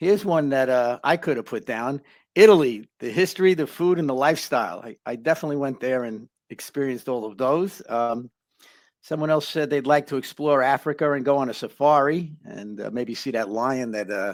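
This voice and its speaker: With a Bronx accent, a man talks at a fairly quick pace and a medium pitch. His intonation is lively, and his loudness swings widely. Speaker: life coach, channel host. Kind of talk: live stream chat. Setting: live online stream.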